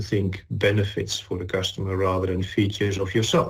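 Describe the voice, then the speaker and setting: A man with a Dutch accent talks at a fairly quick pace. His voice is fairly low and somewhat breathy. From Netherlands. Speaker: chemical industry executive. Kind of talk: corporate webinar presentation.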